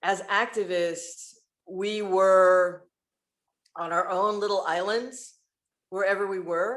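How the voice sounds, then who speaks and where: A woman's medium-pitched voice with an American accent, very slow pace, long, frequent pauses and fairly even intonation. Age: 60s. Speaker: LGBTQ activist. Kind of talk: panel discussion. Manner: halting.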